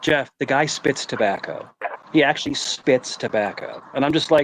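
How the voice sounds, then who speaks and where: Speaking at a moderate pace with very even loudness, a man talks with an American accent. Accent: New York accent that comes and goes. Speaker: livestream host. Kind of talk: casual chat. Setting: livestream. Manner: animated.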